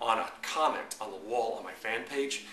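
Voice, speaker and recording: Noticeable background noise and audible room echo accompany a man as he talks. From New York. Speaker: marketing coach. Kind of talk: tutorial. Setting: to camera. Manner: fast.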